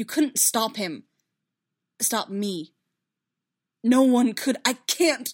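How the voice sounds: A woman performs a put-on character voice at a fairly high pitch and a very slow pace, in a very clean recording with a silent background. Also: lively intonation.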